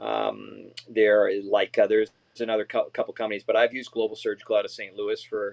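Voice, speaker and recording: A man speaks at a fairly quick pace. The sound is dry and close, without echo. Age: 60s. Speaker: dentist and lecturer. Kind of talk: interview.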